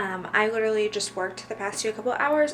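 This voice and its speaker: With noticeable background noise behind her, a woman speaks at a medium pitch with an American accent. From Missouri, US Midwest. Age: 20s. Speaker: lifestyle vlogger. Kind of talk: casual vlog monologue. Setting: at home, bedroom. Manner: filler-heavy (um, like).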